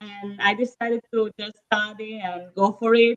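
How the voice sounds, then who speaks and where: A woman's fairly high voice with an Italian accent, very slow, in a dry, close sound with no echo. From northern Italy, Verona. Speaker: real estate agent. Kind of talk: casual interview. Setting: live stream. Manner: hesitant, many fillers.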